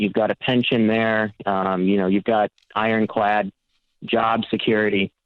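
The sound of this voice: The sound is dry and close, without any echo. A man talks at a moderate pace.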